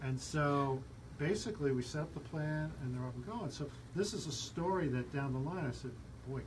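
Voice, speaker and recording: Audible room echo and noticeable background noise surround the recording. A man talks at a fairly quick pace with a medium pitch and ordinary pitch variation. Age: 60s. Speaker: radio host. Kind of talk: radio talk show interview.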